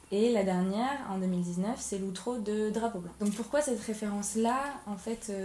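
A woman talks at a fairly slow pace with fairly high pitch and fairly even intonation. Noticeable background noise is present. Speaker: podcast host. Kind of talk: interview. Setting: media library room.

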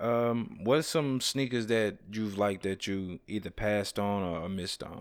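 A man with an unremarkable speaking voice, fairly low in pitch, talks at a fairly slow pace with ordinary pitch variation and hardly any pauses. The recording is very clean, with a silent background. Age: 30s. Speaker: podcast host. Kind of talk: casual chat.

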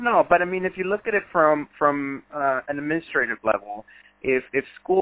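A man with a Spanish accent at a moderate pace. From Ecuador. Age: 20s. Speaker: school board candidate and high school teacher. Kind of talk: interview. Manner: hesitant, many fillers.

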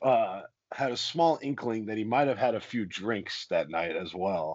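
Lively intonation and a moderate pace from a man with an ordinary speaking voice. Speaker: professional wrestler. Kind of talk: casual chat.

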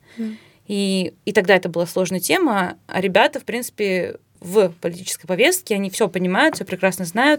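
On a very clean recording with a silent background, a woman talks fairly quickly at a medium pitch in a normal speaking voice, with ordinary pitch variation. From Russia. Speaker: podcast co-host. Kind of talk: casual chat.

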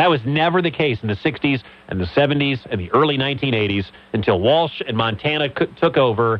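Here is a man at medium pitch, moving at a moderate pace. It is a plain, everyday voice. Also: lively intonation. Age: 40s. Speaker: sports radio host. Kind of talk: sports talk radio. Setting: radio studio.

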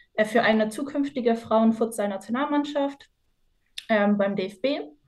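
A woman speaks in an ordinary speaking voice at a fairly slow pace. Her pitch is fairly high, with ordinary variation. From northwestern Germany, Osnabrück. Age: 20s. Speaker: university student and futsal player. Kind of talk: podcast interview.

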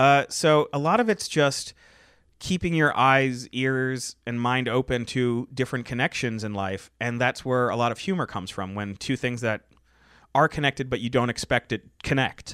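Recorded dry and close with no echo, a man talks at a moderate pace with ordinary pitch variation. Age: 30s. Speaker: comedy writer. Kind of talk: casual chat.

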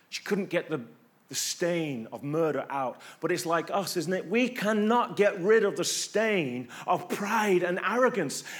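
Here a man speaks at a fairly slow pace with an English accent. His pitch is high and his intonation lively. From England. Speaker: pastor. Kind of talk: sermon. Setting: church. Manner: conversational, rhetorical questions.

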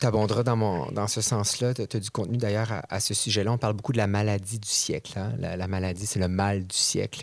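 This man has a fairly low pitch and a Quebec accent, with fairly even intonation. He talks at a moderate pace with hardly any pauses. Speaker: podcast host. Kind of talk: casual interview chat. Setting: studio.

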